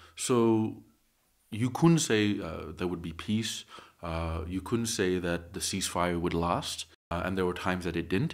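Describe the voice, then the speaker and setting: This man talks in a very deep, low pitch. His pitch variation is ordinary. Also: fairly slow pace. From Nagaland, India; raised in Australia from age eight. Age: 30s. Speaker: company founder. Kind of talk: interview conversation.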